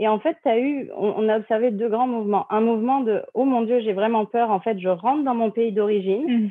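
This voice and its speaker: A woman with a normal speaking voice talks at a fairly high pitch and a moderate pace, with fairly even intonation, very even loudness and hardly any pauses. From France. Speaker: marketing and communications manager at an immigration firm. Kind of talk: interview.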